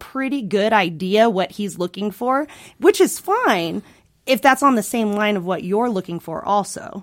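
An unremarkable speaking voice at a moderate pace with lively intonation, on a very clean recording with a silent background. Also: woman. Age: 30s. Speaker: counseling intern. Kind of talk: casual chat.

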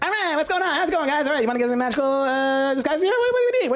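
A put-on character voice at a very fast pace, over clear background noise. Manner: chatty, upbeat.

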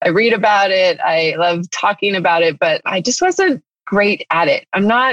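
Lively intonation marks this woman's medium-pitched voice, in an American accent. The sound is dry and close, with no echo. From Northern California. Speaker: novelist. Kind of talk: interview.

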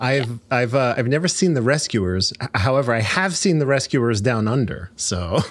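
A man talks at a moderate pace with a medium pitch. His is an unremarkable speaking voice. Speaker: podcast host. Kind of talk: casual chat. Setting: live stream with online audience.

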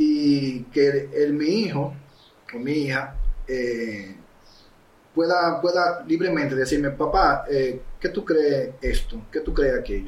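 This man speaks at a very slow pace in a fairly high, somewhat breathy voice with ordinary pitch variation. Audible room echo surrounds him. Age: 40s. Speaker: filmmaker and photographer. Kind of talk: casual interview.

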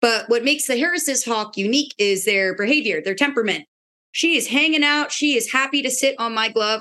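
Speaking at a fairly quick pace, a woman with an American accent has a high pitch, lively intonation and a bright, sharp tone. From Pennsylvania. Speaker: park ranger and falconer. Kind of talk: casual interview chat.

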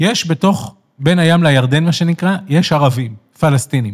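A man's fairly high voice with lively intonation. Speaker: left-wing political commentator. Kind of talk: interview. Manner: emphatic.

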